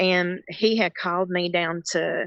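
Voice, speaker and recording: A woman's fairly low voice in a Southern US accent. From North Carolina. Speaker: caregiver. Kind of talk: testimony. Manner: halting.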